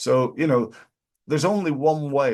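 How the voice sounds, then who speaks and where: A man speaks with a British accent. His pitch moves in an ordinary way. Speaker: business coach. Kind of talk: business advice talk. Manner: halting.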